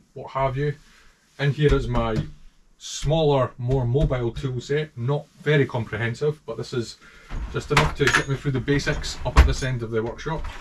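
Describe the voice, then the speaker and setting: Spoken at a moderate pace with a strong Scottish accent, the somewhat breathy voice shows ordinary pitch variation over light background noise. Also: man. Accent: thick Scottish. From Scotland. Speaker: motorcycle restorer. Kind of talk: casual talk to camera. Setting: workshop. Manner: humorous. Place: workshop. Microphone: camera far.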